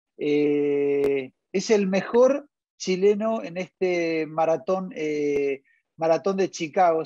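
Against a quiet background, a man's dark, mellow tone comes through dry with no echo. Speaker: interview host. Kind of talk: interview host introduction. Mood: friendly, upbeat. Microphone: earbuds.

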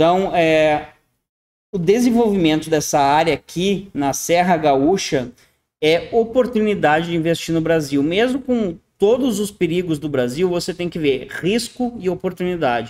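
A man's high voice, fairly slow, with lively intonation. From southern Brazil, Rio Grande do Sul. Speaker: online consultant and YouTube channel host on internationalization. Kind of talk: monologue presentation to viewers, screen share. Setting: at home in an apartment in Panama City, video recording. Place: home room. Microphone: webcam.

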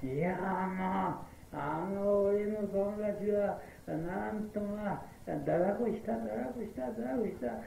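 Amid light background noise and audible room echo, a man with a high pitch and lively intonation speaks at a very slow pace. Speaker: Buddhist priest giving a sermon; prison chaplain. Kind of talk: Buddhist sermon at a memorial service. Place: hall. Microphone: old recording.

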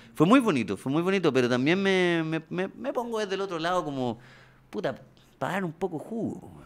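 A man speaks at a fairly quick pace in a high pitch. His pitch swings very widely and his loudness varies greatly. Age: 30s. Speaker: comedian. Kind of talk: casual chat. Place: studio. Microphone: studio mic.

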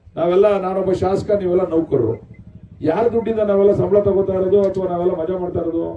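Noticeable background noise sits behind a man speaking. His voice is high for a man, with fairly even intonation. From rural Karnataka, India. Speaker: politician, state legislator. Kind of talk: public speech at a sports event.

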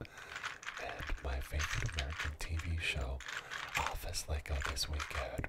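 Soft-spoken, relaxed-toned speech at a fairly slow pace, with noticeable background noise. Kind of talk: casual live-stream chat with viewers. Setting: studio.

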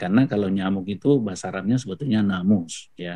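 A man with a fairly low pitch and lively intonation, over a quiet background. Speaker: professor giving Quran commentary. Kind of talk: webinar lecture. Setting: video call webinar. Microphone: video call.

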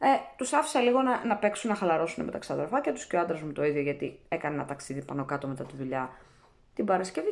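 Over a quiet background, a woman is talking. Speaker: vlogger. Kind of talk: casual vlog chat, answering comments. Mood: firm, slightly defensive. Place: kitchen. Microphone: phone near.

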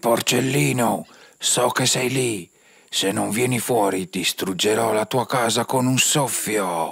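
A man uses a cartoonish character voice at a medium pitch. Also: fairly slow pace. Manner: menacing, then puzzled.

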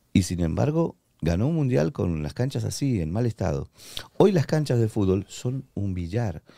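A man speaks at a moderate pace in a fairly low pitch with a dark, mellow tone and very wide pitch swings. The sound is dry with no echo, over a quiet background. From Argentina. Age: 50s. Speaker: former footballer and radio announcer; radio announcer. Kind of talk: podcast interview. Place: studio. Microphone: studio mic.

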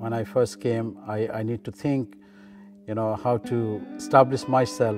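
A man with a Bangladeshi accent at a fairly slow pace, monotone and flat in intonation, with clear music in the background. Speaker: local councillor. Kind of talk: interview answer. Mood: calm, warm, reflective.

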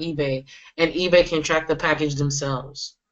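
Someone with a normal speaking voice and an American accent talks at a fairly quick pace with fairly even intonation. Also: woman. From Florida. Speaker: e-commerce seller. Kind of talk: screen-share tutorial.

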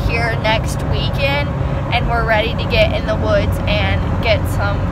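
A woman at a fairly slow pace, dry sound with no echo, and loud background noise. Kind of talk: casual vlog chat. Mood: cheerful, excited. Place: car. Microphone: phone near.

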